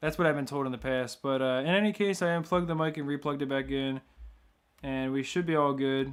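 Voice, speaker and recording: Talking at a very fast pace, a man uses a fairly high pitch and fairly even intonation. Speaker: gaming livestreamer. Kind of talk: casual livestream commentary. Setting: live stream. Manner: soft-spoken.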